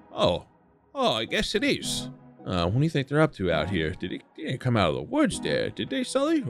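With faint music behind him, a man performs a put-on character voice at a fairly quick pace. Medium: actual play. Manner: muddled.

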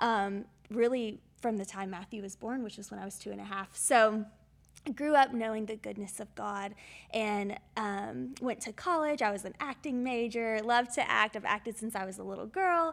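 With a slight Southern US accent, a woman talks at a moderate pace in a fairly high voice, her loudness swinging widely and her pitch varying in an ordinary way, on a very clean recording with a silent background. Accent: slight Southern twang. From Georgia, US South. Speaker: church assistant. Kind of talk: testimony. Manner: animated.

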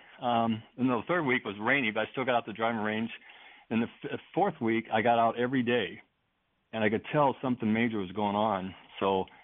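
This man has an unremarkable speaking voice, medium in pitch with ordinary pitch variation. He talks at a fairly quick pace. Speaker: Parkinson's patient and golfer. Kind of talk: interview, personal story.

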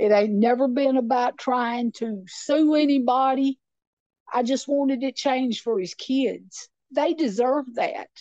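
A woman with a Tennessee accent speaks fairly slowly in a high voice with a dark, mellow tone. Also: ordinary pitch variation. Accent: Southern US (Tennessee). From Tennessee, Clay County. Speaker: mother of a victim. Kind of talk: interview testimony.

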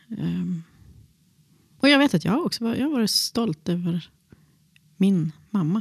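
A somewhat breathy voice with lively intonation moves at a very slow pace, broken by long, frequent pauses. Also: woman, medium pitch for a woman. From Västerbotten, northern Sweden. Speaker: drama teacher and actor. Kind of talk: personal interview.

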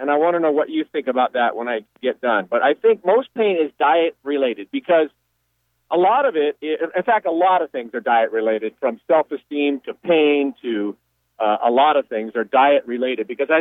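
Speaking at a moderate pace with lively intonation, a man uses a plain, everyday voice at a fairly high pitch. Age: 60s. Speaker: radio caller. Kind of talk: phone-in call.

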